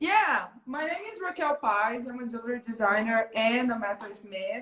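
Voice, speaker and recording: A woman with a Brazilian Portuguese accent and a bright, sharp tone speaks at a moderate pace in a fairly high pitch, with lively intonation and big swings in loudness. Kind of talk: interview.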